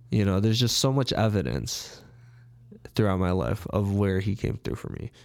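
Ordinary pitch variation at a moderate pace in a man's fairly low pitch, an unremarkable speaking voice. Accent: American. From Chicago, north side. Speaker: personal trainer. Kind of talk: interview.

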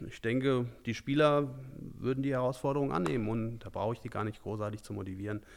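The voice moves at a fairly quick pace with ordinary pitch variation. The recording is very clean, and the background is silent. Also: man. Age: 40s. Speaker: amateur football coach. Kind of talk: podcast interview.

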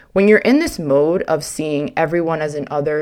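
A woman speaks in an unremarkable speaking voice, her pitch fairly low with ordinary variation. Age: 20s. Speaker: podcast host. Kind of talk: solo monologue.

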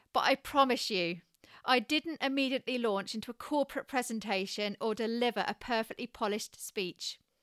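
With a British accent, a woman speaks at a fairly high pitch in a bright, sharp tone at a moderate pace. The recording is very clean, with a silent background and a dry, close sound with no echo. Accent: regional British English. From UK. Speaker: podcast host, communication expert. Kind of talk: scripted solo podcast monologue. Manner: restrained, quiet delivery.

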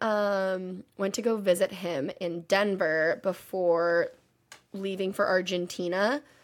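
Using an ordinary speaking voice with an American accent, a woman talks at a fairly slow pace and a medium pitch. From Texas. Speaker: podcast co-host, auditor. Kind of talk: casual chat. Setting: remote recording from parents' house.

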